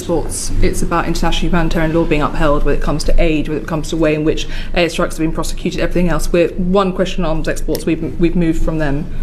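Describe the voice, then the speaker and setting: Very fast, flat, monotone speech from a fairly low-pitched woman with hardly any pauses and noticeable background noise. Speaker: committee chair, politician. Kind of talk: parliamentary committee questioning. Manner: firm, insistent.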